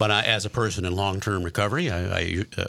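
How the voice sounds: A man's low-pitched voice at a fast pace, with a bright, sharp tone, vocal fry and fairly even intonation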